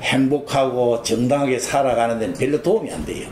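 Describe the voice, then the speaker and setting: A man speaks over noticeable background noise. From rural Korea. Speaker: oral history interviewee, former associate of a business leader. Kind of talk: oral history interview. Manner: conversational, rambling with fillers.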